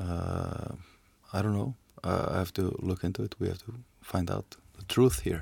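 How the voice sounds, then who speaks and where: A man with a very deep, low voice and vocal fry speaks at a moderate pace, with ordinary pitch variation and long, frequent pauses. The recording is very clean, with a silent background. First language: Icelandic. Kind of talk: casual discussion. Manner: halting.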